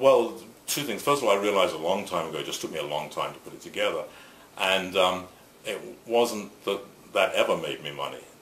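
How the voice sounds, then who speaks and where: In an English accent, a man speaks with long, frequent pauses and big swings in loudness. Audible room echo and noticeable background noise surround his voice. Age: 60s. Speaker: photographer and shirt company founder. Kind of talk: interview. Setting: on camera interview.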